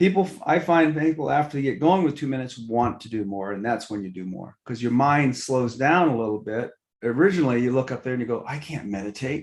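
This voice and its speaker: A man with a plain, everyday voice speaks at a medium pitch and a fairly quick pace, with hardly any pauses. His intonation is lively, and his loudness has big swings. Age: 60s. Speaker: mindfulness teacher and entrepreneur. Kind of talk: podcast interview.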